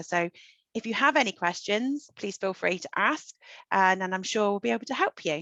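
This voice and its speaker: A woman speaks with a British accent at a medium pitch, her tone bright and sharp. The sound is dry and close with no echo, over a quiet background. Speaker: solo tour company representative. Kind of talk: online travel presentation.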